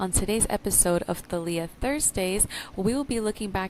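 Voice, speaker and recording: Speaking in an unremarkable speaking voice, a woman keeps a medium pitch with ordinary pitch variation. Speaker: podcast host; spoken word poet. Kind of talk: podcast talk, personal testimony.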